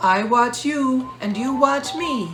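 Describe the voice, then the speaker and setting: A woman does a put-on character voice at a high pitch, with clear background noise behind her. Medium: read story. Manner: fretful, excitable.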